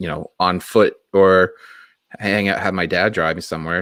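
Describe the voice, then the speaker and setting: Speech comes at a fairly quick clip in a Boston accent. The intonation stays fairly even. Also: man. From Massachusetts, Boston area. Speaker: wrestling podcast host. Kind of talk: casual chat.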